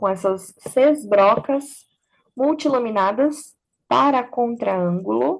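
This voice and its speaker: With lively intonation, a woman speaks in a high voice at a very slow pace. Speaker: dentist and teacher. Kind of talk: lecture.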